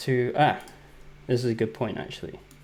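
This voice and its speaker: Speaking with an English accent, a man keeps a medium pitch and a moderate pace. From England. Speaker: software developer. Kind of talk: live coding tutorial. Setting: livestream. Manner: casual, hesitant with fillers.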